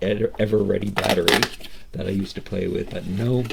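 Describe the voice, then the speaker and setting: This is a man speaking at a fairly low pitch. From Canada, Nova Scotia Atlantic coast. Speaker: toy reviewer and miniature collector. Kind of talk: unboxing review, casual monologue. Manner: halting, with frequent repetitions and fillers.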